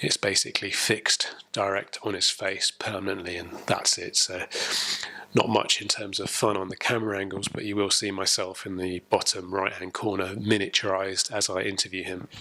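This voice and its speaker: Amid noticeable background noise, a man speaks at a moderate pace in a fairly low, monotone voice with flat intonation. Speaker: podcast host. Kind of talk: interview. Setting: video call. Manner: hesitant, many ums.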